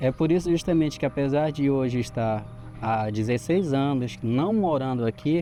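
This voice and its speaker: With music in the background, a man speaks at a moderate pace in a medium-pitched voice with ordinary pitch variation. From Brazil, Santarém, Pará. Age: 40s. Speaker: local resident. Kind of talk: interview testimony.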